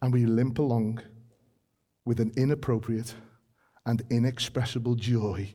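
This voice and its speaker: A man in a British accent speaks at a fairly slow pace with long, frequent pauses, very even loudness, monotone, flat intonation, a dark, mellow tone and a somewhat breathy voice. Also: medium pitch for a man. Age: 40s. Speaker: preacher. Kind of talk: sermon.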